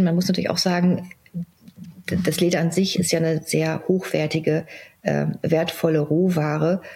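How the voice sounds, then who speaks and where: With noticeable background noise behind her, a woman speaks at a moderate pace in a fairly low pitch with monotone, flat intonation. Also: very even loudness. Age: 40s. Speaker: CEO of a family pet-products company. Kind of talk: interview. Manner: hesitant, many filler sounds.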